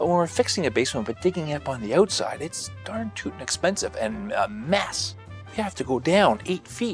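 A man talks at a fairly quick pace. The sound is dry with no echo, and faint music plays in the background. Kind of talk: interview answer. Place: studio.

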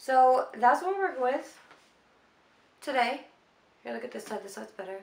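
A woman speaks in a high, animated voice at a moderate pace. There is noticeable background noise. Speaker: beauty vlogger. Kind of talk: casual makeup tutorial vlog. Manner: chatty, animated.

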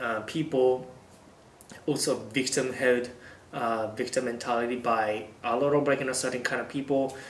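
A man with a Japanese accent speaks in a monotone, flat way, with audible room echo and light background noise. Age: 20s. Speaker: YouTuber. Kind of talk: vlog monologue. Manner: halting with fillers. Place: home room.

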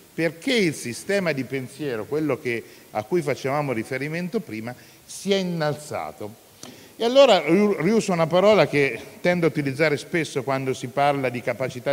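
A plain, everyday voice from a man, fairly high in pitch, with lively intonation at a moderate pace. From Italy. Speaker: city councillor. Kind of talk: formal welcome speech. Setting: hall with live audience. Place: hall. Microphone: handheld.

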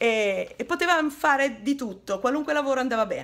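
The intonation rises and falls in a lively way. This woman keeps to a moderate pace. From northern Italy, Turin; northern Italy. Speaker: tour guide / history presenter; tour guide, presenter. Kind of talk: educational video narration. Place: home room. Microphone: phone near.

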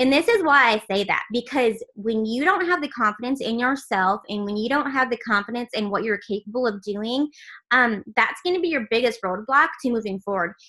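Over a quiet background, a woman with a bright, sharp tone and fairly high pitch talks at a fairly quick pace with hardly any pauses. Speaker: team leader training. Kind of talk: training call. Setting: video call. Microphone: video call.

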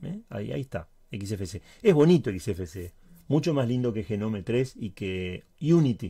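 A man's somewhat breathy voice with a dark, mellow tone, very wide pitch swings and a fairly slow pace over a quiet background. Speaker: Linux tutorial YouTuber. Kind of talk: tutorial. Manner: occasional stutter and filler words.

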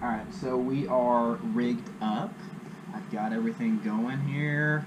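A man's very slow speech comes with noticeable background noise. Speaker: angler vlogger. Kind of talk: casual vlog chat. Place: garage. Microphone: camera far.

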